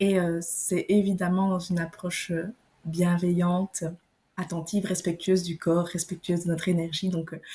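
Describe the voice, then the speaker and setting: Her dark, mellow voice is somewhat breathy, with monotone, flat intonation. The woman speaks at a moderate pace and a fairly low pitch. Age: 20s. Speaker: naturopath. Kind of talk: podcast interview.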